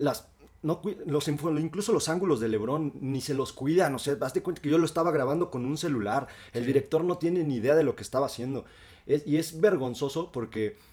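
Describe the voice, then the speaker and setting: Fairly quick speech from a man at a fairly high pitch, with ordinary pitch variation. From Mexico, Cuernavaca. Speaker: podcast co-host. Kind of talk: casual chat. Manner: animated.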